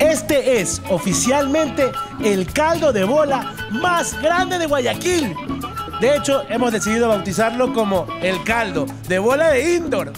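A man speaks at a fairly slow pace with clear music in the background. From Guayaquil, Ecuador. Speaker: TV news segment presenter / comedian. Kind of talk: humorous TV food report. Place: cafe. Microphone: handheld.

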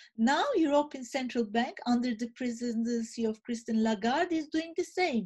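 A woman's high pitch in a Turkish accent, lively intonation, moderate pace with hardly any pauses, and a quiet background. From Turkey. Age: 50s. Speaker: think tank director; speaker. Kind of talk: panel presentation. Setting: video call. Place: home room. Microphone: webcam.

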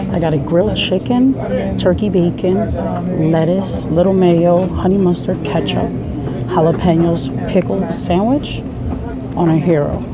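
A woman's voice comes through a dry sound with no echo amid loud background noise. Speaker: food vlogger. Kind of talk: casual vlog chat. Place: shop. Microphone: phone near.

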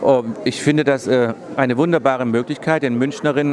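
A man talks at a fairly quick pace with fairly even intonation. Crowd noise fills the background. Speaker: fashion designer and painter. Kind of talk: interview answer. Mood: upbeat, pleased. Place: shop. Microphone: handheld.

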